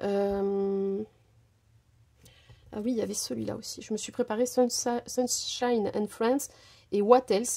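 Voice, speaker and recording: This is a woman's voice with a dark, mellow tone. Her pitch varies in an ordinary way. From France, Portuguese family. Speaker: crafting youtuber. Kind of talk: tutorial. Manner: casual, hesitant with many fillers.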